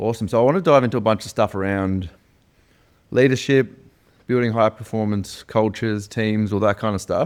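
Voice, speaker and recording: In a very clean recording with a silent background, a man with an ordinary speaking voice talks fairly quickly at a fairly low pitch with fairly even intonation. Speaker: podcast host. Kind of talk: podcast interview questions.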